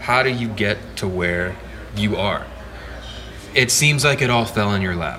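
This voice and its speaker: A man with an American accent talks at a moderate pace in a fairly low pitch, using lively intonation and long, frequent pauses. Audible room echo and noticeable background noise fill the recording. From Texas. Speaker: songwriter and electric guitarist. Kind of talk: casual interview chat. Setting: pub.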